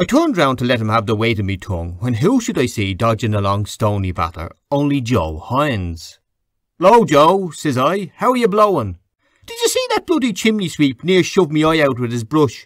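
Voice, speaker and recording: The voice has a Dublin accent and a moderate pace. Its pitch makes very wide swings. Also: man, fairly high pitch for a man. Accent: Irish, Dublin. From Dublin, Ireland. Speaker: audiobook narrator. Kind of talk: audiobook reading of a classic novel.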